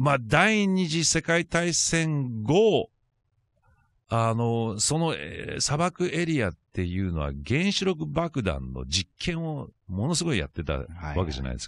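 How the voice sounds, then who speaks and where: A man talks at a fairly slow pace with very wide pitch swings. The background is quiet. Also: dry sound with no echo. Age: 50s. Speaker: radio conspiracy-corner commentator; radio guest or co-host. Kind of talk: radio talk segment, explaining a topic. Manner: hesitant, many fillers. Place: studio. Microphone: studio mic.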